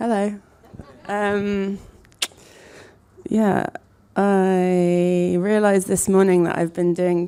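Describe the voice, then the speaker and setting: A woman mumbles at a very slow pace, her medium-pitched voice dark and mellow. Her intonation is monotone and flat, broken by long, frequent pauses. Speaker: architect and design collective co-founder. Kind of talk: talk to an audience. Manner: mumbling; hesitant, many fillers.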